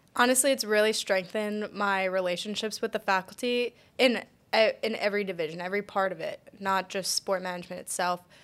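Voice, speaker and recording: A woman's medium-pitched, fairly quick delivery in a normal speaking voice, with fairly even intonation, on a very clean recording with a silent background. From Pennsylvania, near Philadelphia. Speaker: graduate student. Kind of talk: casual interview.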